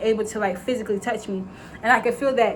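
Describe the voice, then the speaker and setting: Speech rushes by at a very fast pace with ordinary pitch variation. Noticeable background noise is present. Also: woman. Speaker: faith vlogger. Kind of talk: casual vlog monologue. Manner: rambling, filler-heavy.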